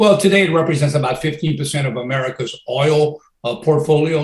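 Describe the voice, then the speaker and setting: A very fast, somewhat breathy male voice, fairly high for a man, with fairly even intonation. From Louisiana. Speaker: former federal energy regulator. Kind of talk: interview.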